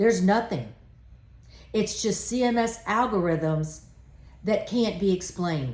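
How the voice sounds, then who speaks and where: In a room with audible echo, a woman talks loudly at a fairly slow pace, her animated tone carried by very wide pitch swings. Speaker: trade association president. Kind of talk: impassioned live address. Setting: live stream.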